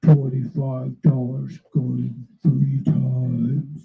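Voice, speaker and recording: Putting on a character voice, a man speaks at a medium pitch and a very slow pace. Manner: put-on, forced.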